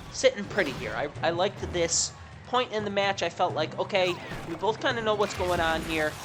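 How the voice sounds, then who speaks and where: A woman's animated, medium-pitched voice with ordinary pitch variation, over music in the background. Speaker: gaming commentator. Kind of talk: gameplay commentary. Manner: fast.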